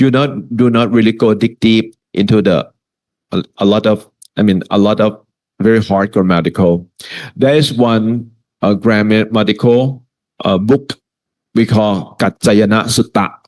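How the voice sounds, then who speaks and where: Keeping very even loudness and fairly even intonation, a man with a fairly low pitch talks at a fairly slow pace with long, frequent pauses. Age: 60s. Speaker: Buddhist teacher. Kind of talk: lecture Q and A. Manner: halting.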